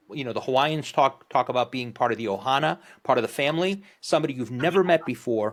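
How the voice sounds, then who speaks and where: In a very clean recording with a silent background, a man with a New Jersey accent talks at a fairly quick pace, at medium pitch, with lively intonation. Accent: East Coast, New Jersey. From northern New Jersey, Morristown. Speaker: podcast host. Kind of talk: casual chat.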